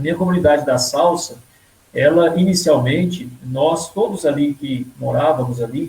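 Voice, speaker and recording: The voice has a dark, mellow tone, somewhat breathy, moving at a moderate pace with ordinary pitch variation. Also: man, fairly high pitch for a man. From Brazil, rural Minas Gerais (Caranaíba area). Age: 30s. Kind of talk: personal vocation testimony in a live interview.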